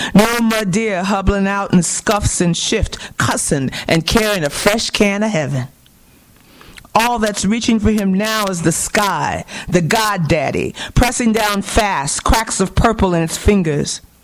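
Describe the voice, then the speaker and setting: A woman has an ordinary speaking voice with ordinary pitch variation. She talks at a fairly slow pace. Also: medium pitch for a woman. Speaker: poet. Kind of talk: poetry reading.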